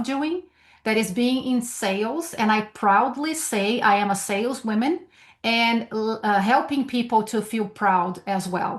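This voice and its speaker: The speaker has a Brazilian Portuguese accent and a fairly slow pace. Pitch variation is ordinary, and the background is quiet. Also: woman. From Brazil, São Paulo. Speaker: sales trainer. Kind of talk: webinar presentation. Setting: video call from home.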